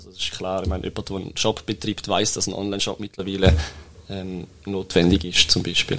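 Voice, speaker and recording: A man's very deep, low voice at a fairly quick pace, with monotone, flat intonation and big swings in loudness. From Switzerland, Toggenburg (St. Gallen). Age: 20s. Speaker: web agency co-founder. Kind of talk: interview. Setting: studio. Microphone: shared microphone, may sound quieter.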